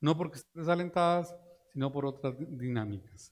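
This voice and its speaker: A man at a fairly high pitch and moderate pace, with ordinary pitch variation. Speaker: economist, invited speaker. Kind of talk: lecture. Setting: conference room with live and virtual audience.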